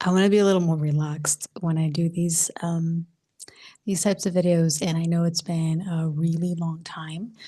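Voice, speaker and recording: Whispering at a fairly slow pace, a woman is soft-spoken and somewhat breathy. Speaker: spiritual coach. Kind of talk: casual monologue vlog. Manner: soft-spoken, near whisper; halting, many fillers.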